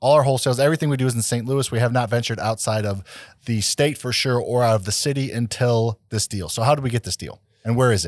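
Talking at a very fast pace, a man with a medium pitch uses ordinary pitch variation on a very clean recording with a silent background. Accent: American. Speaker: podcast host, real estate investor. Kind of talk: casual chat.

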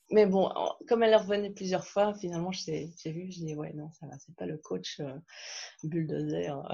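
A somewhat breathy woman with a fairly low pitch and a dark, mellow tone speaks with ordinary pitch variation and big swings in loudness. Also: moderate pace. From Belgium. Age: 40s. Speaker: podcast guest, challenge participant. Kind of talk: casual interview. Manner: hesitant, many fillers.

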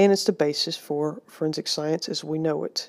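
A woman's fairly low, dark, mellow voice with an American accent, moderate pace and ordinary pitch variation, on a very clean recording with a silent background. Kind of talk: lecture. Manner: hesitant with frequent fillers.

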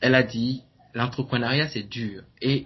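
A man's very slow speech with fairly even intonation. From Benin. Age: 20s. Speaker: entrepreneur and blogger. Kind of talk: interview. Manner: halting.

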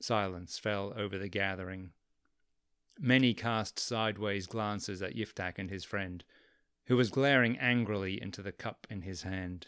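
A man speaks with an English accent at a fairly low pitch and a moderate pace. The recording is very clean, with a silent background. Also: fairly even intonation. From England. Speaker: podcast host and storyteller. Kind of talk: scripted narration of a biblical story.

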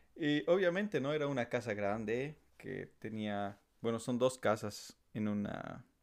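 In a very clean recording with a silent background, a man with an unremarkable speaking voice talks fairly slowly at a medium pitch, his intonation lively. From La Paz, Bolivia. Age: 20s. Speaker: civil engineer. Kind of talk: casual chat.

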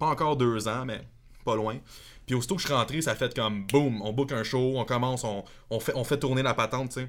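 Fairly quick, fairly evenly intoned speech from a man with a Quebec accent at a medium pitch. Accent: Québécois French. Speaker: metal guitarist. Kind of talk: casual chat.

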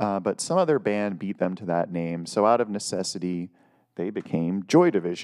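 On a very clean recording with a silent background, a man with an American accent uses a normal speaking voice, fairly low in pitch, with ordinary pitch variation at a moderate pace. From US Northeast, Lake Erie area. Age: middle-aged. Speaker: music podcaster. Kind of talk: casual monologue. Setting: solo video recording at home.

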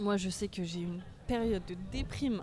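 Lively in intonation and fairly slow in pace, this woman talks against noticeable background noise. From France. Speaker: former au pair. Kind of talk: casual chat. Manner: animated.

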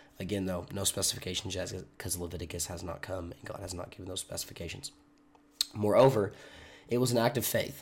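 A very deep, low-pitched man, somewhat breathy and very fast. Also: ordinary pitch variation. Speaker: online Bible teacher. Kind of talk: devotional Bible study talk. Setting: recorded video. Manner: casual, conversational.

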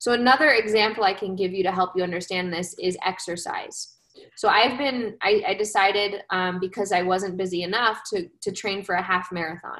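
A woman with an unremarkable speaking voice and an American accent talks fairly quickly at medium pitch, with fairly even intonation and hardly any pauses. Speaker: social emotional learning coach and presenter. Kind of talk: webinar presentation. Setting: live video webinar, evening.

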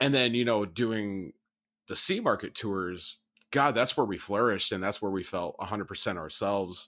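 On a very clean recording with a silent background, a man with an American accent speaks at a moderate pace in a fairly low pitch, his tone bright and sharp, with ordinary pitch variation. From Rockford, Illinois, US Midwest. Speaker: former band member, musician.

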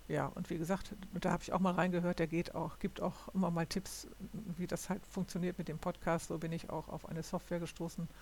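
A woman speaks at a fairly quick pace with a fairly low pitch. Her intonation is monotone and flat, with vocal fry. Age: 60s. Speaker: podcaster. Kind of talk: solo monologue. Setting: home recording at computer. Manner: halting.

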